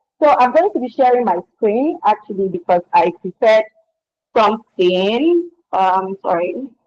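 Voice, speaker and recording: A woman speaks with a Nigerian accent at a fairly high pitch, her voice making very wide pitch swings. The sound is dry and close, with no echo. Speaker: skincare business founder. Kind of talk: webinar presentation. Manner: fast.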